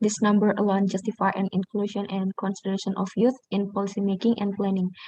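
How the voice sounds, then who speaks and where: Her voice dark, mellow and somewhat breathy, a woman speaks at medium pitch in a monotone, flat intonation, recorded with a dry, close sound and no echo. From Indonesia. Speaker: university student, summit delegate. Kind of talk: prepared speech. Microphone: bad connection.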